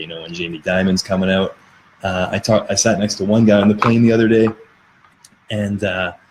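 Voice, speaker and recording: At a very fast pace, a man speaks with a fairly low pitch and fairly even intonation against noticeable background noise. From Canada. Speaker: crypto podcaster. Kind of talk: live stream chat with viewers. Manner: casual, rambling with fillers.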